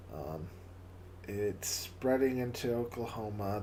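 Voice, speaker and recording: Audible room echo surrounds a man's voice. He speaks at a fairly slow pace with fairly even intonation. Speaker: livestream host. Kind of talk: casual livestream chat. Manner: halting, repeats words.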